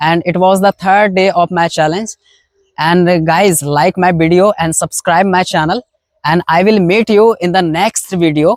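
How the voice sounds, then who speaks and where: Fairly even intonation at a moderate pace, with a dry, close sound, no echo and very even loudness. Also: man, high pitch for a man. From India. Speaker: English learner vlogger. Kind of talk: casual vlog talk to camera. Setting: outdoors in a mustard field. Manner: halting, frequent fillers and restarts.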